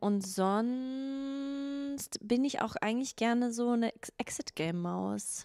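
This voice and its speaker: A woman's voice carries a dark, mellow tone. Her pitch varies in an ordinary way. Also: quiet background. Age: 30s. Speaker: podcast co-host. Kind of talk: casual chat. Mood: playful, laughing. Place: studio. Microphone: handheld.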